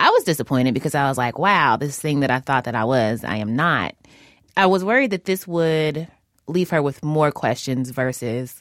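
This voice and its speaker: Lively intonation and an animated tone at a fairly quick pace, in an American accent. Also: woman, very clean recording, silent background. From US South, Louisville, Kentucky. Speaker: podcast host. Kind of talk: casual chat. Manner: animated, laughs often.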